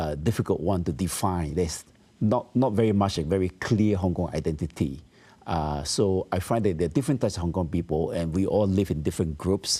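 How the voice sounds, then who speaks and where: A dark, mellow voice moves at a fairly quick pace with ordinary pitch variation and very even loudness, on a very clean recording with a silent background. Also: man, very deep, low pitch for a man. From Malaysia (Penang). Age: 70s. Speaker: asset management company founder. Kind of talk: interview. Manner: hesitant with fillers.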